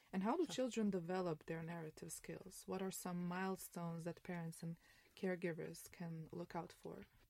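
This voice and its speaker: The tone is dark and mellow, from a woman at fairly low pitch. She talks at a fairly quick pace. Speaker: podcast host. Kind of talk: interview, conversational. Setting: studio in Berlin, filmed.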